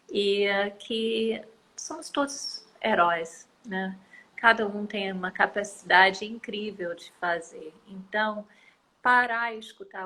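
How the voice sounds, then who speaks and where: A woman with a non-native accent speaks at a very slow pace in a medium pitch with ordinary pitch variation. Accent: foreign accent in Portuguese. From United States. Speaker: environmental activist. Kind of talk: interview. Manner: hesitant, many fillers.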